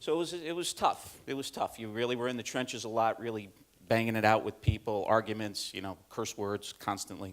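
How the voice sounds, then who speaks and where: With an upstate New York accent, a man talks at a fairly quick pace and a medium pitch. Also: ordinary pitch variation. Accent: upstate New York, Midwestern-like. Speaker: corporate learning manager. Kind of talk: conference presentation. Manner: hesitant, many fillers.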